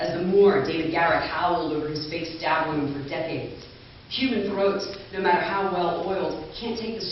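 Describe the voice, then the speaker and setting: A woman with an American accent and a fairly low pitch talks at a moderate pace amid noticeable background noise. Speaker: author and actor. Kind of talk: author reading at a literary event.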